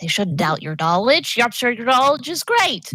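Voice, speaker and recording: This female-sounding, put-on character voice sits at a fairly high pitch with very wide pitch swings and a moderate pace. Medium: actual play. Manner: cheerful, earnest.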